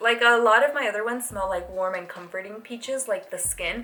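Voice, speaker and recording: Speaking in a non-native accent, a woman has a high-pitched voice. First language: not English. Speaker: beauty vlogger. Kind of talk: casual review monologue. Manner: casual, filler-heavy.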